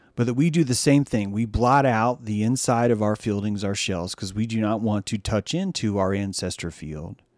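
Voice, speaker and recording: An animated man's voice at a fairly low pitch, with ordinary pitch variation and hardly any pauses, on a very clean recording with a silent background. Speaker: livestream host. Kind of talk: casual livestream monologue. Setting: video livestream. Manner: fast.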